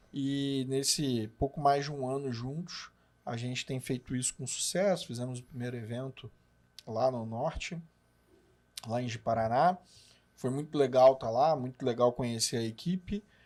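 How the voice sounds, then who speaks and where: A man's medium-pitched voice with a Rio de Janeiro accent, ordinary pitch variation and a moderate pace. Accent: Carioca Brazilian Portuguese. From Rio de Janeiro, Brazil. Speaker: business partner, supermarket consultant. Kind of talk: podcast conversation.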